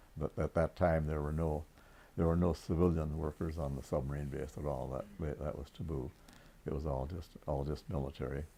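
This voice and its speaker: The speech moves at a moderate pace with vocal fry and fairly even intonation. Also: man, very deep, low pitch for a man. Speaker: World War Two navy veteran, naval electrician. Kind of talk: interview answer.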